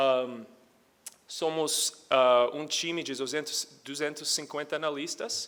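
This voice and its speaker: A man with an American accent, fairly high in pitch. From United States. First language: English (speaking Portuguese). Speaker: energy research analyst, conference speaker. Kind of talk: conference presentation. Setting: stage with audience. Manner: halting, many fillers.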